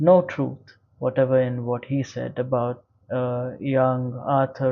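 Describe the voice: Simple, plain reading aloud.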